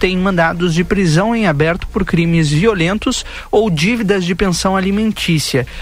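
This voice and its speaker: The pace is fairly slow, with ordinary pitch variation. Noticeable background noise runs underneath. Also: man. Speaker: radio host. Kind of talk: radio news and talk show. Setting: radio studio.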